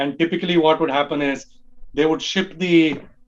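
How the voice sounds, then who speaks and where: With a Tamil accent, the speaker talks at a moderate pace with ordinary pitch variation. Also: man. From India, Bangalore. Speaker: early fan group leader. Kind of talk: podcast interview.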